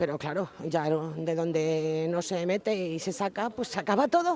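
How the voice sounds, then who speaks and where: A man speaks in a plain, everyday voice. His pitch is fairly high, with ordinary pitch variation. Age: 60s. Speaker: unemployed passer-by. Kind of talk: vox pop interview.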